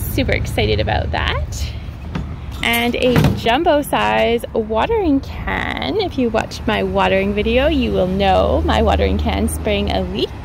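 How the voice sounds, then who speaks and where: This woman talks at a fairly slow pace. Her sound is dry with no echo, and background noise is noticeable. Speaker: gardening vlogger. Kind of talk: casual vlog chat. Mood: cheerful, excited. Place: street. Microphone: phone near.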